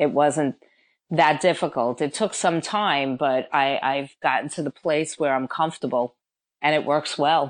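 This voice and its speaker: A woman's very deep, low voice at a fairly slow pace, with fairly even intonation over a quiet background. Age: 50s. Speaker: personal trainer. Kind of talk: interview.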